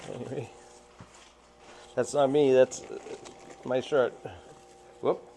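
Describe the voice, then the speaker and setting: A man speaks at a fairly slow pace, leaving long, frequent pauses. Noticeable background noise runs under the recording. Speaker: aquarium fish hobbyist. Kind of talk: unboxing commentary. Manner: casual, halting.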